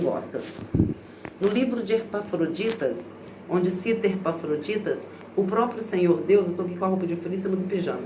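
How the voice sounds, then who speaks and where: Noticeable background noise and audible room echo surround a woman's voice. Her pitch is fairly low and varies an ordinary amount. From Brazil. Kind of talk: casual vlog monologue. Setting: bathroom at home. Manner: informal, conversational.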